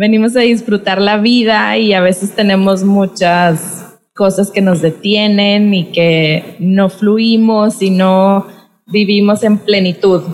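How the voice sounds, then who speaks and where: A woman speaks at a very slow pace, her intonation monotone and flat and her loudness very even. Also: medium pitch for a woman, hardly any pauses. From Mexico, Monterrey, Nuevo León. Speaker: podcast host and dance teacher. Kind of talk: casual interview conversation. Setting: video call.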